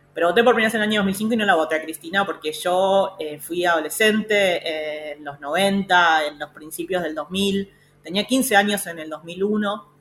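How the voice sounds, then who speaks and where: Music plays behind a woman who speaks at medium pitch and a moderate pace, with ordinary pitch variation and hardly any pauses. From Argentina, Pilar (Buenos Aires province). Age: 30s. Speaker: feminist politician and government official. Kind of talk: radio interview. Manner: halting, many fillers and repetitions.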